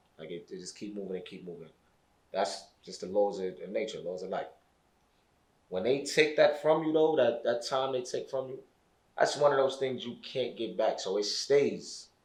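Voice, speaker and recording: The speech moves at a moderate pace, and audible room echo surrounds it. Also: man, long, frequent pauses. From Brooklyn, New York (East New York). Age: 20s. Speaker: formerly incarcerated guest. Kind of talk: podcast interview. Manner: halting, repeats words.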